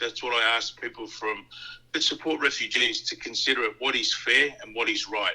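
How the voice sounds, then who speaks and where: A man with an Australian accent keeps to a moderate pace. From Australia, born in Tonga. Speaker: immigration detainee. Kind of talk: interview. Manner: halting, with many fillers.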